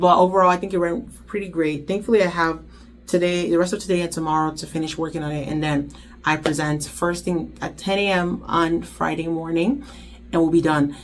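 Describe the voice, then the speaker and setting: Amid audible room echo, a woman speaks at a fairly quick pace with a fairly low pitch and fairly even intonation. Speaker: intern vlogger. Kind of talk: vlog talk to camera. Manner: fast.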